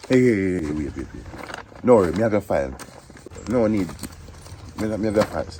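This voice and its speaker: A man speaks very fast in a Jamaican accent, yet leaves long, frequent pauses. Noticeable background noise is present. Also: fairly low pitch for a man. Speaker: interviewer in comedy skit. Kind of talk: comedy skit dialogue.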